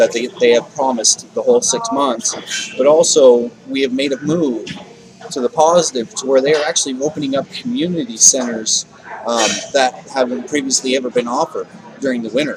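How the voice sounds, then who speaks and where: A man with a fairly high pitch and lively intonation speaks at a fairly quick pace amid noticeable background noise. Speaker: homeless advocate vlogger. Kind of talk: video diary. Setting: sitting in usual spot, recording to camera. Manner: halting, repeats words.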